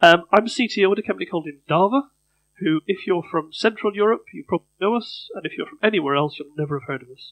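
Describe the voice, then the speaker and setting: High-pitched male speech at a very fast pace, with big swings in loudness and a dry, close sound free of echo. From Northern Ireland, Belfast. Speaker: conference speaker, software company CTO. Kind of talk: conference talk. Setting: stage with audience.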